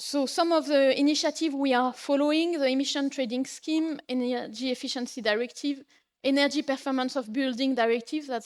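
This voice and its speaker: In a very clean recording with a silent background, a woman with a French accent talks at a fairly quick pace, high in pitch and with fairly even intonation. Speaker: policy officer at a homelessness organization. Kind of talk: conference lecture.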